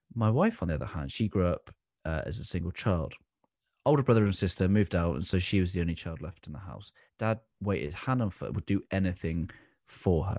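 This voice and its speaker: Very deep, low male pitch with vocal fry, lively intonation and a fairly quick pace, in a dry, close sound with no echo and a very clean recording against a silent background. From England. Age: 30s. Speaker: leadership coach. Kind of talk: interview.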